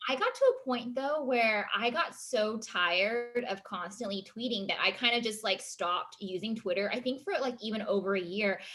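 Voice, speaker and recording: With an ordinary speaking voice, a woman talks at a fairly high pitch and a moderate pace, using ordinary pitch variation and hardly any pauses. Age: 30s. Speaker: talk show host. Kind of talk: casual chat.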